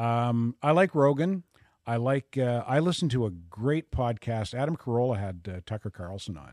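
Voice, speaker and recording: An unremarkable speaking voice from a man with a Canadian accent, medium pitch, lively intonation and big swings in loudness, in a very clean recording with a silent background and a dry, close sound with no echo. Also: moderate pace. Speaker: radio host. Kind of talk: casual interview chat.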